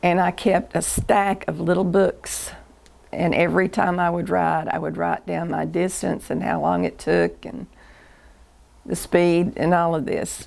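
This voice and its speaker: A woman at a fairly slow pace on a very clean recording with a silent background. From US South, Chattanooga, Tennessee. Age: 70s. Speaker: interviewee recording life story. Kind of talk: oral history interview. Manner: halting.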